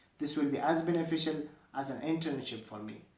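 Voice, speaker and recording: A man's fairly quick speech echoes audibly around the room. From Afghanistan. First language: Dari and Pashto. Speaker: university student. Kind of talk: scripted self-introduction video. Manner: formal.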